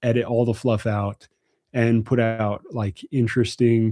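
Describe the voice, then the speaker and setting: Relaxed and with a dark, mellow tone, a man speaks at a medium pitch and moderate pace against a quiet background. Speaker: gun channel host. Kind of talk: livestream Q&A chat. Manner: casual, relaxed.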